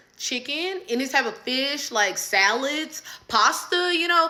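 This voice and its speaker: Animated in tone, a woman speaks with very wide pitch swings. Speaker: storyteller. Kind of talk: casual storytelling.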